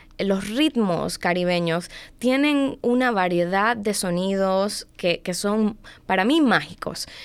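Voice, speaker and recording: Recorded very cleanly against a silent background, a woman speaks with lively intonation. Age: 20s. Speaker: domestic violence advocate. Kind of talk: casual chat.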